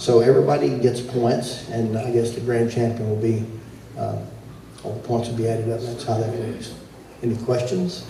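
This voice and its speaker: A man speaks at a medium pitch with fairly even intonation. Noticeable background noise and audible room echo fill the recording. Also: moderate pace. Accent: Texas. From Texas. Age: 70s. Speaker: competition announcer and band judge. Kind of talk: event announcing. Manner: casual, halting with fillers.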